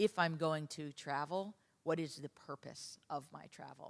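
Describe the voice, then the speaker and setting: At a moderate pace, a woman speaks in a very deep, low pitch with ordinary pitch variation and a dry, close sound with no echo. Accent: New York. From US, New York. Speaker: consulting executive. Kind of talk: conference panel discussion.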